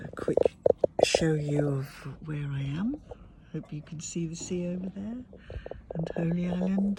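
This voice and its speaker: A quiet woman speaks at a fairly low pitch, leaving long, frequent pauses. Noticeable background noise runs underneath. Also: ordinary pitch variation, fairly slow pace. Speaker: tapping practitioner. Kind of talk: guided tapping session. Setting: outdoors at a campsite.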